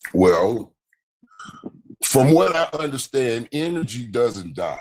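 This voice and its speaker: A man talks at a very slow pace in a medium pitch. Long, frequent pauses break up his speech. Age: 60s. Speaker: caller on a live stream. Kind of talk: casual debate. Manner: halting.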